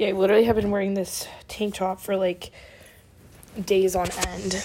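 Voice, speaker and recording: A woman talks with an American accent. Noticeable background noise can be heard. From Oregon. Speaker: podcast host, college student. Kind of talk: casual solo chat. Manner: chatty, many fillers.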